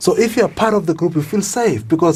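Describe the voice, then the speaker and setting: A man with a somewhat breathy, dark, mellow voice speaks at a moderate pace with lively intonation. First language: not English. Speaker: leadership coach. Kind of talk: podcast interview conversation.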